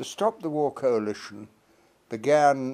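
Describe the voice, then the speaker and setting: In a British accent, a man speaks at a fairly slow pace. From Britain. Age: 80s+. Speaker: politician and peace campaigner. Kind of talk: political appeal to camera. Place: home room. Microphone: phone near.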